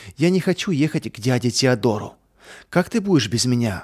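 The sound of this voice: Lively intonation marks this unforced reading voice.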